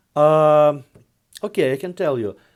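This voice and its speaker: Here a man with a Russian accent speaks slowly-ish, at a fairly slow pace, with a fairly high pitch and ordinary pitch variation, in a very clean recording with a silent background. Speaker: investment fund executive. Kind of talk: interview. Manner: halting.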